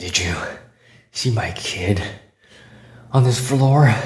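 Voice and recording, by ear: A man puts on a raspy character voice at medium pitch, talking at a very slow pace with ordinary pitch variation and an audible echo.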